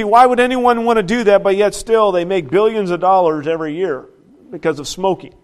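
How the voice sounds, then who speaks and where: With the background quiet, a man speaks at a fairly quick pace. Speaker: pastor. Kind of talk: sermon. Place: church.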